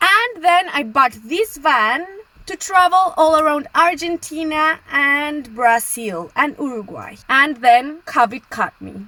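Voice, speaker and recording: Over noticeable background noise, a woman with a Colombian accent speaks very slowly in a raised, projected voice, high-pitched and with lively intonation. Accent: Latin (Colombian). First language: Spanish. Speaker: travel vlogger. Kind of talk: casual vlog talk to camera.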